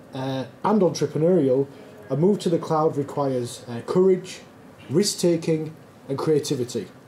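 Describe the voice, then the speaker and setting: In a northern English accent, a man talks at a fairly high pitch. His pitch variation is ordinary. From northern England, Yorkshire. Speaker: conference speaker, tech company founder. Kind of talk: conference talk. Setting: stage with audience, filmed.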